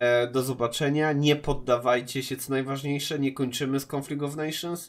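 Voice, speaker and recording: At a moderate pace, a man talks in a fairly high voice with monotone, flat intonation, captured in a very clean recording with a silent background. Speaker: gaming youtuber. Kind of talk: casual vlog address to viewers. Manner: hesitant, many filler sounds.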